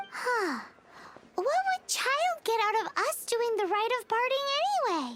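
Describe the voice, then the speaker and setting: This put-on character voice sits at an extremely high pitch, moving at a moderate pace with long, frequent pauses. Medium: video game. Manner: excitable, chatty.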